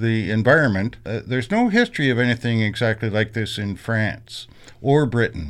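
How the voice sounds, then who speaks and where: A man with a Canadian accent, medium pitch and ordinary pitch variation, a normal speaking voice against a quiet background. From Canada, Kingston area, Ontario. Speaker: PhD student in history. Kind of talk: interview.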